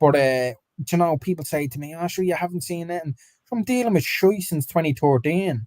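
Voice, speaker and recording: Speaking fairly quickly in an Irish accent, a man uses lively intonation at a fairly high pitch in a dry, close sound with no echo. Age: 30s. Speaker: football fan podcast co-host. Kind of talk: live stream match reaction chat.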